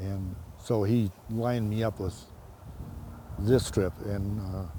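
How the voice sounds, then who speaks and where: Somewhat breathy and fairly low in pitch, this man's voice has a dark, mellow tone. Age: 70s. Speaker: hunter on a guided hunt. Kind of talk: interview and field narration. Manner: halting, many fillers.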